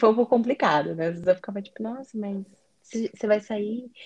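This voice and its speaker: A woman talks at a very fast pace with a somewhat breathy voice. The sound is dry and close, with no echo. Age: 20s. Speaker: foreign trade analyst, guest. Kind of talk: casual interview.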